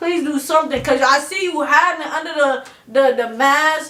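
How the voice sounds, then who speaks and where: A woman speaks at a high pitch in a raised, projected voice. Audible room echo follows her words. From Chicago, US Midwest. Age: 20s. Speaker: interview guest. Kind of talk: casual interview chat.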